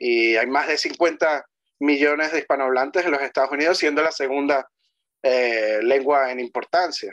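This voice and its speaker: A man's unremarkable speaking voice, fairly high in pitch, at a moderate pace with fairly even intonation, over a quiet background. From Venezuela. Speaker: history commentator. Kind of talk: conversational interview on history and language. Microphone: video call.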